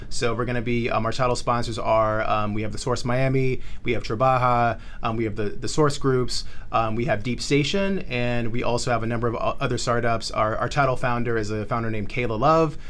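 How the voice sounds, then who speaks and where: A man's medium-pitched voice with an American accent, at a fairly quick pace, amid audible room echo. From South Florida, originally Charlotte. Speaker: tech startup founder and community organizer. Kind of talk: podcast interview. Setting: co-working space studio. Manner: fast; animated.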